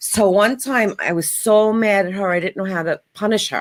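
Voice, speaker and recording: On a very clean recording with a silent background, a woman with a strong New York accent speaks at a moderate pace with ordinary pitch variation. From New York, Long Island area. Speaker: kitchen and bath designer. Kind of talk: casual chat.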